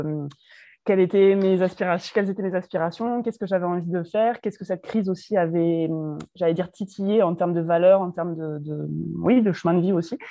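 In a normal speaking voice, a woman talks at a fairly quick pace with a fairly low pitch and fairly even intonation. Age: 30s. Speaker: pharmacist turned entrepreneur. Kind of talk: casual interview.

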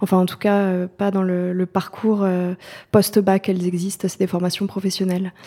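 A woman speaks at a moderate pace with a medium pitch and a dark, mellow tone. Her intonation is monotone and flat, on a very clean recording with a silent background. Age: 20s. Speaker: newspaper photo editor. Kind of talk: interview.

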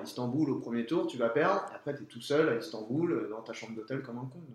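Noticeable noise sits in the background, and room echo is audible. A man does the talking. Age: 30s. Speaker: professional tennis player. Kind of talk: interview testimony. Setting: at his home. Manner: halting, many fillers.

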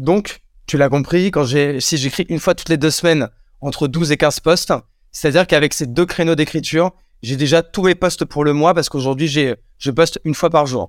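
This man has an unremarkable speaking voice, fairly high in pitch with fairly even intonation, at a moderate pace. The recording is very clean with a silent background and a dry, close sound with no echo. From France, Champagne-Ardenne countryside. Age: 30s. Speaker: entrepreneur. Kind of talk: casual interview.

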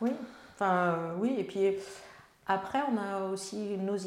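Amid audible room echo, a woman talks at a medium pitch with fairly even intonation. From France, Melun (Seine-et-Marne). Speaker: member of parliament. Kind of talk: interview. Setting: on location in her town.

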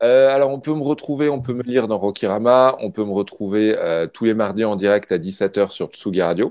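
In a plain, everyday voice, a man speaks fairly quickly, and his pitch varies in an ordinary way. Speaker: film journalist. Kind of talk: casual chat.

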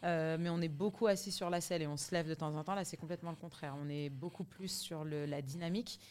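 Speaking at a fairly quick pace with hardly any pauses, a woman with a fairly low pitch is heard on a very clean recording with a silent background. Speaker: singer and fitness/life coach. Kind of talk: casual interview chat. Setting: hotel in Paris. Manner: animated, big laugh.

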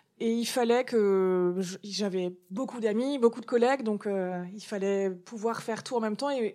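A woman speaks with a dark, mellow tone at a fairly high pitch. Her pace is fairly slow and her intonation fairly even. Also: big swings in loudness. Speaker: comic book author and cancer survivor. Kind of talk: interview testimony.

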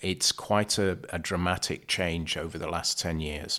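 Over a silent background in a very clean recording, a man talks at a fairly slow pace with fairly even intonation and a bright, sharp tone. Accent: British. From UK. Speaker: supply chain consultant. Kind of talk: interview.

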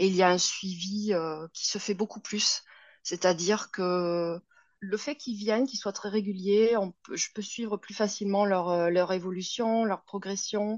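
An unremarkable speaking voice from a woman, at a medium pitch and a fairly slow pace, with fairly even intonation. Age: 40s. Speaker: yoga teacher. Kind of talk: interview.

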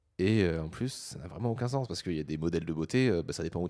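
A man speaks at a very fast pace with lively intonation. His pitch is very deep and low, his tone dark and mellow. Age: 20s. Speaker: podcaster. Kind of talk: casual chat.

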